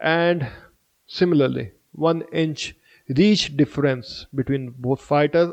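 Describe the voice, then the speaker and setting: A man speaks at a fairly slow pace with an Indian accent, his pitch fairly high. The sound is dry and close, with no echo. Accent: Indian accent, apologizes for pronunciation. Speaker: MMA fight predictor, YouTuber. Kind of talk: fight prediction commentary. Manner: halting, with fillers.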